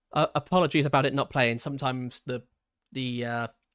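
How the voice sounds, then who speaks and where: With music in the background, the speech moves at a moderate pace in a dry, close sound with no echo. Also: man. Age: 20s. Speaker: video game streamer. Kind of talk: casual chat. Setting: livestream.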